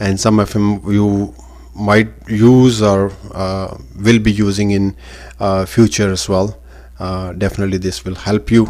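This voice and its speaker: Fairly slow speech in a non-native accent, with fairly even intonation. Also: man, fairly low pitch for a man. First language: not English. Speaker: online business communication teacher. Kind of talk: tutorial. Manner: hesitant, many fillers.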